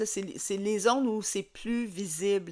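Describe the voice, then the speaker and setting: Here a woman speaks at medium pitch. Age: 60s. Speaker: skincare consultant. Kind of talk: tutorial. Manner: halting, many fillers.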